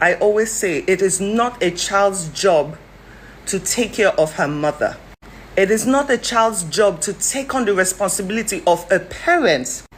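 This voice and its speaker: A woman's somewhat breathy voice at a medium pitch, with lively intonation. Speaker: commentator. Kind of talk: commentary. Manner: fast; animated.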